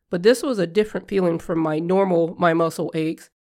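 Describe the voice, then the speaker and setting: A woman talks with an ordinary speaking voice, fairly low in pitch, and fairly even intonation. The recording is very clean, with a silent background. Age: 40s. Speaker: podcast host living with lupus. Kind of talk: personal health story monologue.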